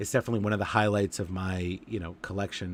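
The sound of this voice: A man talks with a low, nasal pitch. His intonation stays fairly even.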